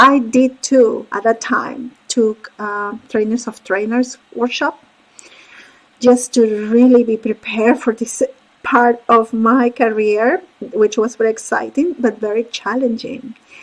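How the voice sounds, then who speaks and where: A woman in a Spanish accent speaks at a fairly slow pace, her fairly high pitch carried in fairly even intonation. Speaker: court interpreter and interpreter coach. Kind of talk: career talk with slides.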